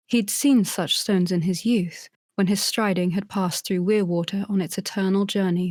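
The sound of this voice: An unforced reading voice with fairly even intonation sounds over a quiet background.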